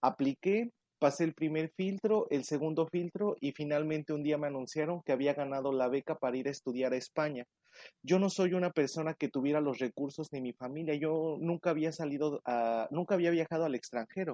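A man with a fairly high pitch and a dark, mellow tone talks at a fairly quick pace with ordinary pitch variation, recorded dry and close with no echo against a quiet background. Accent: Mexican. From Mexico. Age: 20s. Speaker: news correspondent. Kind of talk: interview.

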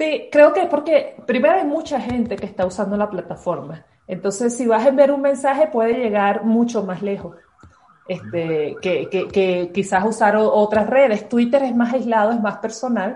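With lively intonation and a fairly high pitch, a woman speaks at a moderate pace in an unremarkable speaking voice. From Venezuela, Caracas. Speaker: university physics lecturer. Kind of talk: interview.

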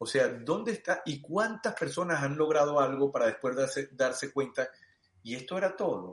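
The man's fairly high voice swings very widely in pitch while he keeps a moderate pace. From Venezuela (Los Teques, Mérida). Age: 40s. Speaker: sports coach. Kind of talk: interview. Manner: halting, repeats words.

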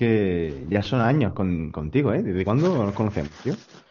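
In a normal speaking voice, a man with a fairly low pitch talks at a moderate pace with lively intonation. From Almería, Spain. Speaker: podcast host. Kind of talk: casual chat.

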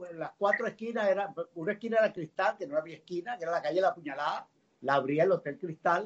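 A man with a high voice speaks at a fairly quick pace. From Venezuela, Caracas. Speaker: journalist. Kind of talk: casual chat.

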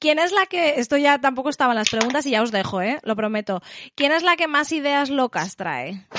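Her tone animated, a woman with a high voice speaks at a moderate pace. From Spain. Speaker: podcast host. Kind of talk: casual chat.

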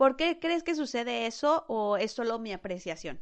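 Her intonation lively, a woman speaks in a high voice at a moderate pace. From Mexico. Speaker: podcast host. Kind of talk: interview.

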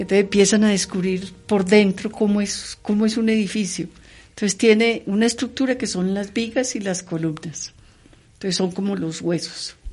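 A woman talks at a moderate pace and medium pitch, sounding somewhat breathy. The background is quiet. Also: ordinary pitch variation. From Colombia, Medellín (paisa). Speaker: engineering dean, civil engineer. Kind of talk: interview.

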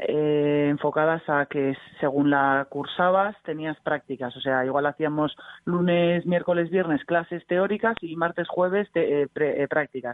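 A woman speaks at a fairly slow pace. Her pitch is very deep and low. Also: ordinary pitch variation. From Bilbao, Basque Country, Spain. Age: young. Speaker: basketball player. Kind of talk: casual radio interview.

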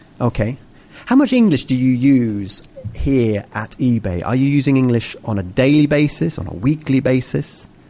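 In a British accent, a man speaks at a moderate pace and medium pitch with ordinary pitch variation. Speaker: English teacher and radio host. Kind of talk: interview-style English lesson on air. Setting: on location at a company office. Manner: animated.

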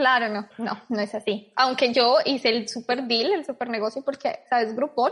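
A woman's high voice at a moderate pace, with ordinary pitch variation and hardly any pauses. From Colombia, Bogotá. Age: 20s. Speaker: emigrant sharing her experience. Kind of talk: casual interview.

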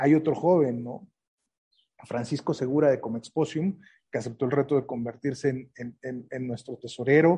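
A man's dark, mellow, somewhat breathy voice at a moderate pace, fairly even in intonation but with big swings in loudness, over a quiet background. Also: medium pitch for a man. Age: 40s. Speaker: trade association president. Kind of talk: interview. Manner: halting.

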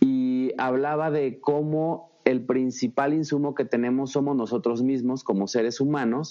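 A man talks in a plain, everyday voice at a medium pitch and fairly slow pace. His intonation is fairly even, with hardly any pauses. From Mexico, Zacatecas. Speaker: marketing consultant and speaker. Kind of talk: interview.

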